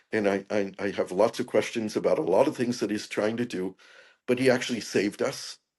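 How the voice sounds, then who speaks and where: Against a quiet background, a man with an unremarkable speaking voice talks fairly quickly at medium pitch with fairly even intonation. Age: 60s. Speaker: peace activist and author. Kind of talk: interview conversation.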